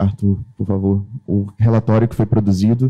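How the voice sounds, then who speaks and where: Speaking at a moderate pace, a man uses a fairly low pitch and a dark, mellow tone. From Brazil. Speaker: panelist, internet governance youth representative. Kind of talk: conference panel talk. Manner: halting, many fillers.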